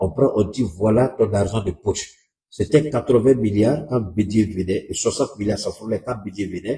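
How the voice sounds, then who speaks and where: A man's dark, mellow, somewhat breathy voice moves at a moderate pace, with medium pitch and ordinary pitch variation. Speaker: political commentator. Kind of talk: live stream commentary.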